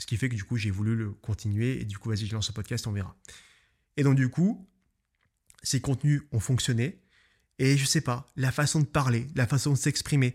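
On a very clean recording with a silent background, a man at medium pitch speaks at a fairly quick pace, somewhat breathy, with ordinary pitch variation and long, frequent pauses. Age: 20s. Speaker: photographer and podcaster. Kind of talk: solo podcast monologue. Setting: home studio, filmed. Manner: casual, hesitant with fillers.

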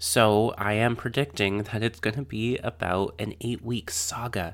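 A man with a fairly low pitch speaks at a moderate pace in a normal speaking voice. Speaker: podcast host. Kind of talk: casual interview conversation. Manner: warm, gentle.

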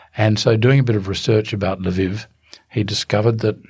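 This man has an Australian accent and a somewhat breathy voice. He talks at a fairly quick pace with fairly even intonation. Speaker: human rights barrister. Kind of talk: interview. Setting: studio.

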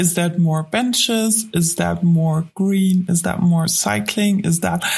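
A woman with a German accent, medium pitch and ordinary pitch variation, at a very slow pace. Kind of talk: podcast interview.

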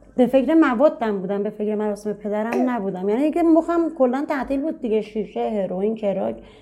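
A woman's normal speaking voice, fairly high-pitched, at a fairly quick pace. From Tehran, Iran. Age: 30s. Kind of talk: personal testimony interview.

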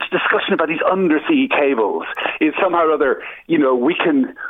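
A man with an Irish accent. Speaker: anti-war activist. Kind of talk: radio interview.

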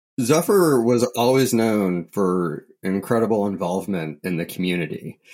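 A man with a plain, everyday voice speaks at a moderate pace. His fairly low pitch shows ordinary pitch variation on a very clean recording with a silent background. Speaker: podcast host and real estate broker. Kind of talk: casual interview chat.

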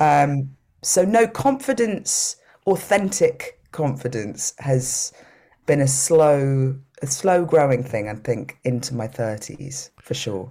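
A woman's very deep, low voice with a dark, mellow tone comes at a very slow pace. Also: lively intonation. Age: 30s. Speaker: singer-songwriter. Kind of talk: casual chat. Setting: video call.

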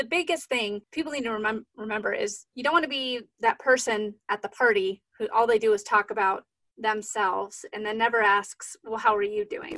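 A woman with a fairly high pitch and a bright, sharp tone speaks at a moderate pace with hardly any pauses. Her pitch varies in an ordinary way, and the sound is dry and close with no echo. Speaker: podcast host. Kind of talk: interview.

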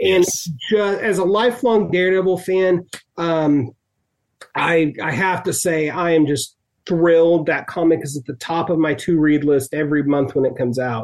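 A high-pitched man with an American accent, ordinary pitch variation and a moderate pace. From Oklahoma City, US. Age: 40s. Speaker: comics site editor and social worker. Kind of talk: casual interview.

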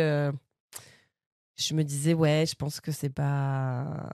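On a very clean recording with a silent background, a woman with a very deep, low pitch and a dark, mellow tone keeps her intonation fairly even. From Normandy, France (Bernay). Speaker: stand-up comedian. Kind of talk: casual chat.

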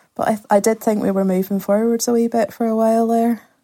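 A woman with a Northern Irish accent, fairly high pitch, dark and mellow tone, fairly quick pace, on a very clean recording with a silent background. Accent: Northern Irish (Ulster). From Northern Ireland, rural County Antrim. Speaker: novelist and community arts facilitator. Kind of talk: podcast interview.

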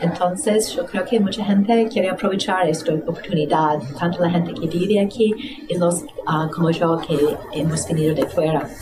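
Through audible room echo and noticeable background noise, a woman speaks at a fairly low pitch and a moderate pace, her loudness very even. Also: ordinary pitch variation. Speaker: art event organizer. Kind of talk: interview.

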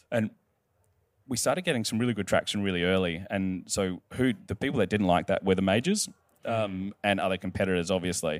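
Heard dry and close with no echo in a very clean recording with a silent background, a man with an Australian accent and a fairly low pitch talks at a fairly quick pace with ordinary pitch variation. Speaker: wine retailer CEO and co-founder. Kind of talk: live interview on stage. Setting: stage with audience.

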